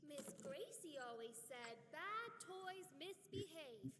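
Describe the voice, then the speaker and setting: A put-on character voice, high in pitch and very slow, with clear background noise. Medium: video game. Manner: anxious, urgent.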